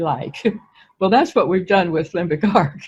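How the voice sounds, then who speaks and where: A woman speaks in a somewhat breathy voice. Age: 80s+. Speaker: testimonial-giving user of a wellness technology. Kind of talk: testimony.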